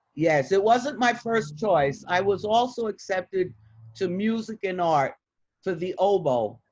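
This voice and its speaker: With a New York accent, a woman at a medium pitch speaks at a fairly slow pace, her pitch swinging very widely. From Bronx, New York. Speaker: retired criminal defense attorney. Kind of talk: interview answer.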